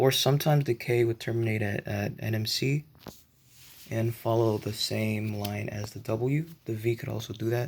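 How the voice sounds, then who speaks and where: This man's voice is somewhat breathy and medium in pitch. His intonation stays fairly even. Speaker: model train hobbyist vlogger. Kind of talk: casual show-and-tell narration. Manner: halting, many fillers; shaky voice.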